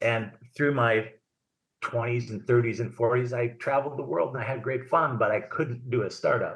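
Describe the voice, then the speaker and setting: Speaking at a moderate pace with an American accent, a man delivers his words in a flat monotone that is somewhat breathy. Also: medium pitch for a man. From Minnesota, US Midwest. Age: 60s. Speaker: tech entrepreneur. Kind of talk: podcast interview. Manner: halting, many repeated words.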